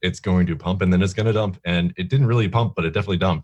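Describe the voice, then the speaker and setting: The man's voice sits at a very deep, low pitch. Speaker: crypto show co-host. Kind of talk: live stream chat. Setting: live video stream studio. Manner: halting, filler-heavy.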